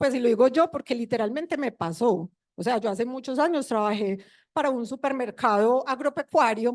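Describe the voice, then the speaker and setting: A woman speaks at a fairly quick pace in a high voice, with ordinary pitch variation, over a quiet background and a dry, close sound with no echo. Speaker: information designer and guest lecturer. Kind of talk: conference lecture.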